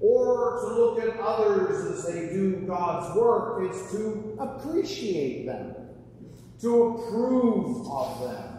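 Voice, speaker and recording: Amid strong room echo, a man with a high voice speaks very slowly, with ordinary pitch variation. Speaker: preacher. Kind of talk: sermon. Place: church. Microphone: camera far.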